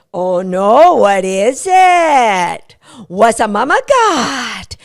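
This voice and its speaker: In a put-on character voice, a woman speaks very slowly at a fairly high pitch, her pitch swinging very widely. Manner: fun, playful, teasing.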